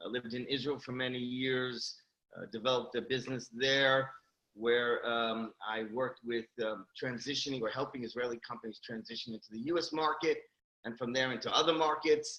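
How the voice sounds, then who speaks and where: A man speaks fairly quickly in a New York accent. His medium-pitched voice has a bright, sharp tone. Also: fairly even intonation. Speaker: company CEO. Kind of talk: interview. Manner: hesitant, many fillers.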